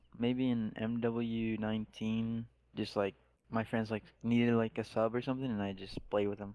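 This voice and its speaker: A man talks at a moderate pace in a medium pitch. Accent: Spanish. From Mexico. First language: Spanish. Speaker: esports pro gamer. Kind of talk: podcast interview.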